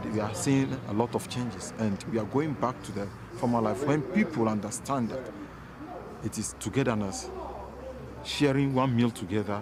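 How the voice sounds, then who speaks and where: There is noticeable background noise behind a man speaking at a fairly quick pace. His pitch is medium, with ordinary variation. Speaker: Orange Order member in Ghana. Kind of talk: interview.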